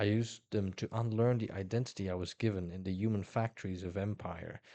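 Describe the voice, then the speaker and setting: In a Dutch accent, a man speaks at a fairly low pitch with flat, monotone intonation. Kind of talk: nonfiction book reading.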